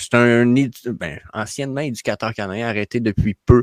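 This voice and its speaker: A man talks with a strong Quebec accent. The sound is dry and close with no echo, and the background is quiet. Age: 30s. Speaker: NFT YouTuber, former educator. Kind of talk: casual conversation.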